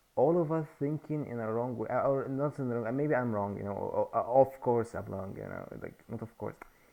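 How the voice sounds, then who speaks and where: A man's medium-pitched voice with a non-native accent and ordinary pitch variation. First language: not English. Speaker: YouTuber sharing ideas. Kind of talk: casual monologue. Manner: halting.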